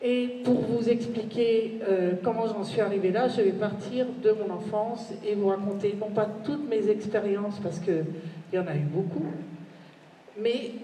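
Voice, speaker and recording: Amid noticeable background noise and audible room echo, a woman speaks at a fairly slow pace with fairly even intonation. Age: 60s. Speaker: conference speaker sharing abduction experience. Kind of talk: conference testimony. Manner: hesitant, many fillers.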